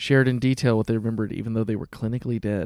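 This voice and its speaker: A dry, close male voice without echo, recorded very cleanly against a silent background. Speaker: podcast co-host. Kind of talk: casual chat.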